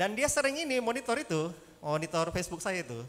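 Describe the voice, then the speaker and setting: A man's high voice in an animated tone, with very wide pitch swings. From Indonesia. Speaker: head of district prosecutor's office. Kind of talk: casual talk on law. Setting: hall with audience, streamed live. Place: hall. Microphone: handheld.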